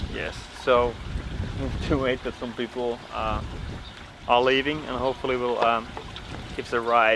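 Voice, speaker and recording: Over noticeable background noise, a man speaks at a medium pitch and moderate pace, in a monotone, flat intonation with long, frequent pauses. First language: Finnish or Dutch. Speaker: travel vlogger. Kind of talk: travel vlog narration.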